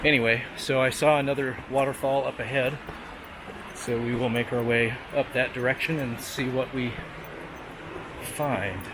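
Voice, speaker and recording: Over noticeable background noise, a man speaks in a relaxed tone at a moderate pace, with fairly even intonation and long, frequent pauses. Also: medium pitch for a man. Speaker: travel vlogger. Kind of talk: vlog narration while hiking. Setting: outdoors on a hiking trail. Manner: whispering; casual, relaxed.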